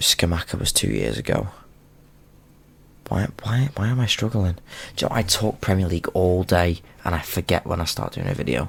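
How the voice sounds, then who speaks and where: Soft-spoken and with vocal fry, a man with a very deep, low voice talks at a moderate pace, his intonation lively and broken by long, frequent pauses. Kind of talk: casual talk to camera.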